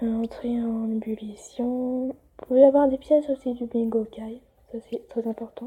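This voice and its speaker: This woman's voice sits high in pitch and stays monotone, with flat intonation throughout. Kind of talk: casual game tutorial talk. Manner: hesitant, many fillers.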